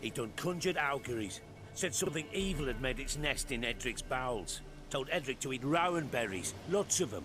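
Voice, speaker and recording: A man uses a gruff, put-on character voice at a fairly high pitch. He talks at a fairly quick pace over loud background noise. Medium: video game. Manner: gruff, rustic grammar.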